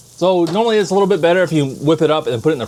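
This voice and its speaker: A man speaks against noticeable background noise. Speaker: home cooking vlogger. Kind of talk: casual cooking vlog. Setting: home kitchen. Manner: animated; fast.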